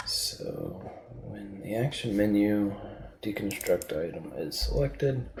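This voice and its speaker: A man talks at a very slow pace, with audible room echo and noticeable background noise around him. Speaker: game developer streamer. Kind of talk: live coding stream. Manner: halting, thinking aloud.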